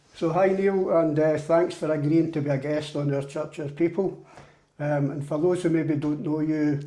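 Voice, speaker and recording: A man with a Glaswegian accent speaks at a moderate pace, his pitch fairly high and his tone dark and mellow. His intonation stays flat and monotone, and the room echo is audible. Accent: Glaswegian Scottish. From Scotland, Glasgow (Drumchapel). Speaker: church interviewer. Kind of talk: interview.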